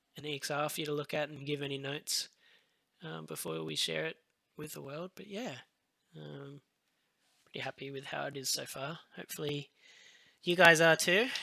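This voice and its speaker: Speaking at a moderate pace, a man with an Australian accent leaves long, frequent pauses. His loudness swings widely. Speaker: visual effects compositor. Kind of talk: live-stream tutorial. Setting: live stream. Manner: hesitant, many fillers.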